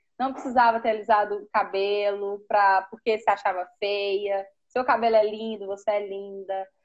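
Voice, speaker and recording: At a moderate pace, an unremarkable speaking voice talks with fairly even intonation. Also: woman. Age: 30s. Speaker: preschool teacher. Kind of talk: live-stream conversation. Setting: Instagram live video call.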